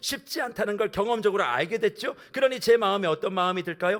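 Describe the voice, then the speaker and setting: A man speaks loudly and fairly quickly in a high voice with lively intonation. The recording is very clean, with a silent background. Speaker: senior pastor. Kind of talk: sermon. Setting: church, early-morning revival service.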